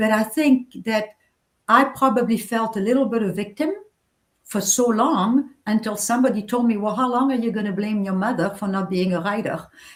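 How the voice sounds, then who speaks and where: Speaking at a moderate pace, a woman with a fairly high pitch sounds somewhat breathy, with ordinary pitch variation. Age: 60s. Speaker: novelist. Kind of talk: interview.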